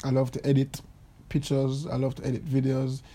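A man with a fairly high pitch and a dark, mellow tone at a moderate pace. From Jamaica. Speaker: Olympic athlete and podcast host. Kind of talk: casual monologue. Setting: recording in bed at home. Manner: animated.

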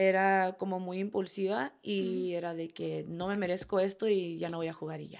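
A woman talks at a moderate pace in a monotone, flat intonation. Her loudness swings widely in a very clean recording with a silent background. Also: medium pitch for a woman, hardly any pauses. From California, US (Oxnard). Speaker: professional footballer. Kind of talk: interview.

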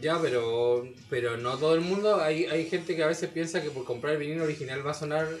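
Amid noticeable background noise, a man with a fairly high pitch talks at a very fast pace. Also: ordinary pitch variation. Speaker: rock musician. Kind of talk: casual chat.

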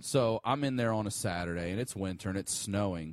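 An ordinary speaking voice with an American accent and ordinary pitch variation, recorded very cleanly against a silent background in a dry, close sound with no echo. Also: man. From Baltimore County, Maryland, US. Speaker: comedian and podcaster. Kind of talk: casual chat.

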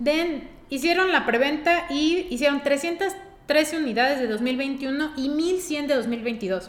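Her voice is high for a woman, with lively intonation. Noticeable background noise sits behind it. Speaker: car podcast co-host. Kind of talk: casual chat. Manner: very fast.

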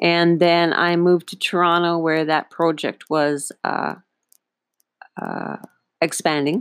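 The delivery is very slow, with long, frequent pauses. Intonation stays monotone and flat. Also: woman, fairly low pitch for a woman. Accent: Northern Ontario. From Northern Ontario, Canada. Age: 50s. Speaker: podcast host, small business owner. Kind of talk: personal storytelling monologue. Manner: halting, many fillers.

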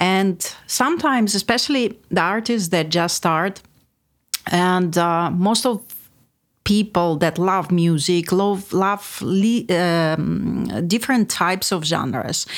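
A woman with a Russian accent speaks very slowly at a medium pitch with ordinary pitch variation. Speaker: music producer and songwriter. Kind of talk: casual chat. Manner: halting.

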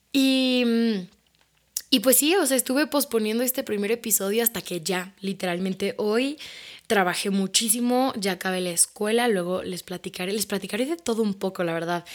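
A woman with a Mexico City accent speaks at a moderate pace. Her pitch is fairly high. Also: ordinary pitch variation. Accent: Mexican Spanish (Mexico City). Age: 20s. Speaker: podcast host and social media creator. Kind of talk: casual personal monologue.

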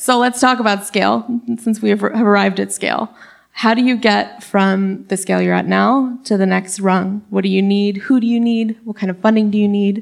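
With fairly even intonation at a medium pitch, this woman has a plain, everyday voice. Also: moderate pace. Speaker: journalist and moderator. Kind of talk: live panel interview. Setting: stage with audience.

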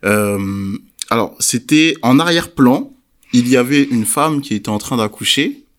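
In a very clean recording with a silent background, a man with an unremarkable speaking voice talks at a fairly slow pace, his medium pitch showing ordinary variation. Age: 20s. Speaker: podcast host. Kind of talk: casual discussion.

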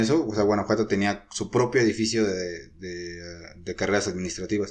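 A plain, everyday voice from a man, fairly low in pitch, with fairly even intonation at a moderate pace. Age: 20s. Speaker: tourism management student. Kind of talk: casual interview.

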